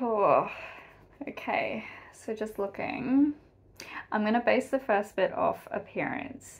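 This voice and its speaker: Here is a woman with an Australian accent. Her pitch is medium. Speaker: YouTube reaction video creator. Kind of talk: casual reaction commentary. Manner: animated. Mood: cheerful, chatty. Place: home room. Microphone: webcam.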